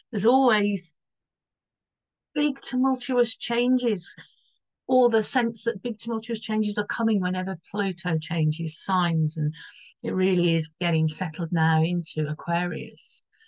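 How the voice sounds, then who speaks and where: Somewhat breathy, a woman of medium pitch speaks with lively intonation. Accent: British. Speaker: astrologer. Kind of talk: astrology forecast video. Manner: casual, rambling with false starts.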